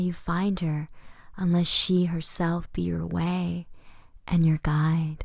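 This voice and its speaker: Speaking at a very slow pace, this soft-spoken woman has a fairly low pitch and a somewhat breathy sound. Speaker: poetry reader. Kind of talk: ASMR poetry reading.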